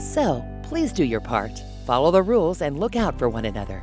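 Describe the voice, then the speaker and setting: At a fairly slow speed, a woman talks while music is heard in the background. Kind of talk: corporate safety training narration.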